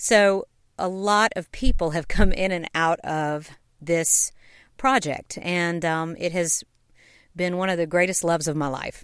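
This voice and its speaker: This woman has a Southern US accent and a fairly low pitch with ordinary pitch variation. She goes at a fairly slow pace in a very clean recording with a silent background. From US South, Knoxville, Tennessee. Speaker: podcast host, musical writer and performer. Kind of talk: casual storytelling.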